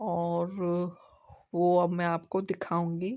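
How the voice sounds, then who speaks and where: The background is quiet as a woman speaks. She talks at a very slow pace with a fairly low pitch. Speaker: craft and cooking YouTuber. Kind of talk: tutorial. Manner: casual, conversational.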